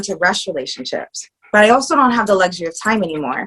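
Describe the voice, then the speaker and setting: A plain, everyday voice. The intonation is lively and the pace fairly quick. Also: woman. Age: 40s. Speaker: podcast guest on dating. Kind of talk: casual chat.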